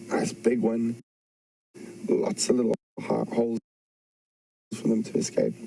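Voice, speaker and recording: Soft-spoken and very even in loudness, a man talks at a fairly slow pace with long, frequent pauses, the sound dry and close with no echo. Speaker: safari guide. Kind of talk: live wildlife commentary. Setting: outdoors.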